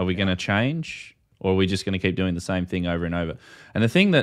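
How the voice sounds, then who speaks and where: Against a quiet background, a man with an Australian accent speaks at a very deep, low pitch. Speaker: ham radio YouTube host. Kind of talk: casual livestream discussion. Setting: video call. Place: home room. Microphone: studio mic.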